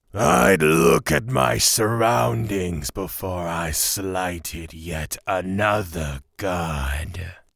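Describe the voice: A man does a put-on character voice with vocal fry, low in pitch with a fairly bright tone. He goes very slowly, with ordinary pitch variation.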